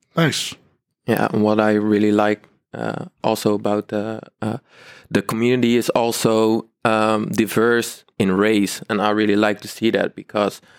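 Fairly slow, fairly even speech with a Dutch accent. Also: man, fairly low pitch for a man. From Netherlands, Rotterdam. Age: 20s. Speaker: art school student. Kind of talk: live panel discussion. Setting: theater hall with live audience. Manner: halting, many fillers.

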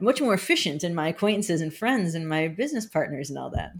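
In a normal speaking voice, a woman speaks fairly quickly at a fairly low pitch. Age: 30s. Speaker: marketing professional and fine artist. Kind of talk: casual interview.

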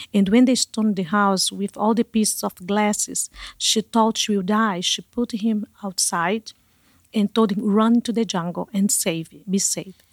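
A woman with a Brazilian accent speaks at a moderate pace and medium pitch with fairly even intonation, on a very clean recording with a silent background and a dry, close sound with no echo. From Brazil, Manaus (Amazon). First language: Portuguese. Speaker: missionary, ministry leader. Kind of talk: testimony. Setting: studio.

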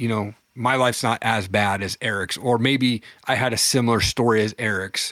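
A man talks in a normal speaking voice at a medium pitch and moderate pace, with fairly even intonation and a dry, close sound with no echo. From Washington State. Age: 40s. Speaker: entrepreneur and podcast host. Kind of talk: testimony. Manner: casual.

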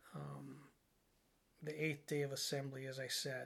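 The speaker is a man with a fairly high pitch. His pace is moderate. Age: 50s. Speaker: podcast host. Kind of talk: solo spiritual monologue. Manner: hesitant, many fillers.

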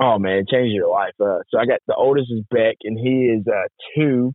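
A man speaks at a moderate pace and a fairly low pitch, with ordinary pitch variation and a slightly husky edge. The sound is dry and close, with no echo.

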